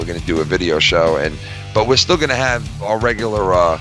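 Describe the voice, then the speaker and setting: Lively intonation from a man with a fairly low pitch, music in the background. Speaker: co-host of podcast network. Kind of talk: casual live podcast banter, profane.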